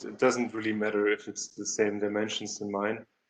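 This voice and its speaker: In a normal speaking voice, a man talks at a moderate pace with fairly low pitch. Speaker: CAD software instructor. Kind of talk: tutorial.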